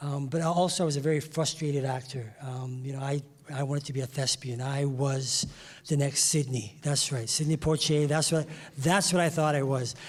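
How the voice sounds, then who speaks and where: A man's somewhat breathy, fairly high voice at a moderate pace, with fairly even intonation. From England, West Indian family, later Toronto. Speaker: music industry insider, former broadcaster. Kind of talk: panel discussion. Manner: hesitant, many fillers.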